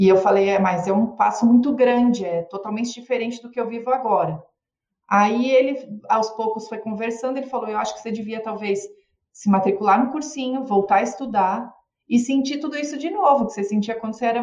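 A woman with an ordinary speaking voice talks at a fairly high pitch and a fairly quick pace, with ordinary pitch variation and big swings in loudness. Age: 40s. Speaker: physician and former model. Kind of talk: casual chat.

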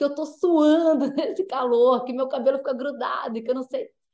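With an animated tone, a woman moves at a fairly quick pace and ordinary pitch variation. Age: 40s. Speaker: sports journalist. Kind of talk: interview. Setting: video call.

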